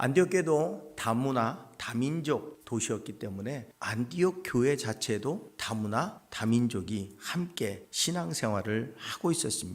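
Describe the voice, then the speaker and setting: This man speaks at a medium pitch with lively intonation. His pace is very slow, yet he leaves hardly any pauses. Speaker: pastor. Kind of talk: sermon.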